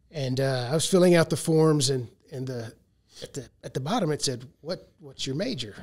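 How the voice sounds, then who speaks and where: A somewhat breathy man speaks at a fairly high pitch. His pace is moderate, with ordinary pitch variation. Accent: American. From US South, Arkansas. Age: 60s. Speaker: agricultural modeling researcher. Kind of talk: podcast interview. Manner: halting, many fillers.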